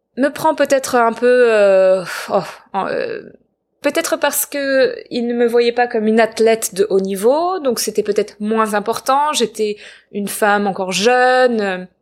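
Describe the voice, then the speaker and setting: At a fairly slow pace, a woman with an unremarkable speaking voice talks at a fairly high pitch with ordinary pitch variation, on a very clean recording with a silent background. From southern France, near Marseille. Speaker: actress and filmmaker. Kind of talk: personal testimony interview. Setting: living room in Los Angeles.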